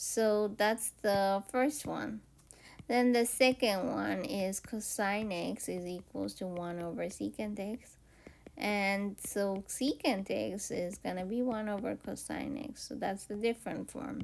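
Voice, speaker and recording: This woman talks very slowly, her voice at a medium pitch. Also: ordinary pitch variation. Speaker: math teacher. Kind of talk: lecture. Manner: hesitant, many fillers.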